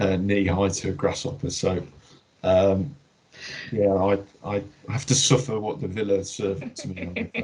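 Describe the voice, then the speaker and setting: A man with a slight Birmingham accent speaks at a fairly slow pace in a somewhat breathy, fairly low voice with ordinary pitch variation and long, frequent pauses. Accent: slight Brummie twang. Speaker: healthcare trust director. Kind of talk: workplace Q&A. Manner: hesitant, many fillers and repeats.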